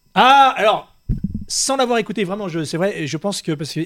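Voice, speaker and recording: The speaker talks very fast in an animated tone with lively intonation. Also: man. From Dordogne, France. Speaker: web radio host. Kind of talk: casual chat.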